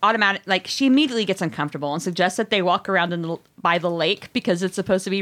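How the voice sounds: The speaker reads in a natural reading voice. Pitch varies in an ordinary way.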